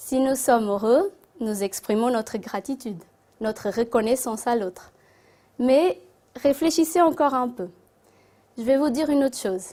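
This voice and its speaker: Pausing long and often, a woman with a non-native accent speaks at a high pitch with lively intonation. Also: moderate pace. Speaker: spiritist speaker. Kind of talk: talk to an audience. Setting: Christmas gathering with audience. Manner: halting.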